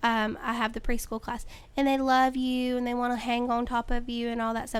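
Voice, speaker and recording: Loud and high-pitched, a woman with a North Carolina accent talks at a fairly quick pace on a very clean recording with a silent background. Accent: US South, North Carolina. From North Carolina, Caldwell County. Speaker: middle school teacher. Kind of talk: interview. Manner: casual, hesitant with ums.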